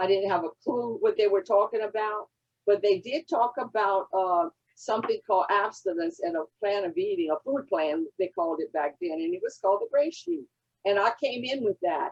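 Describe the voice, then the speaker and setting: Very wide pitch swings in a woman's medium-pitched voice. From Louisiana Cajun country. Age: 80s+. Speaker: recovery fellowship member. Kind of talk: testimony. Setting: convention session.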